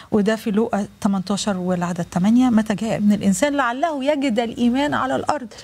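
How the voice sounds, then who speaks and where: Moderately paced, a woman with a fairly high pitch speaks in a dark, mellow tone with lively intonation. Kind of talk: live religious TV program. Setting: studio. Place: studio.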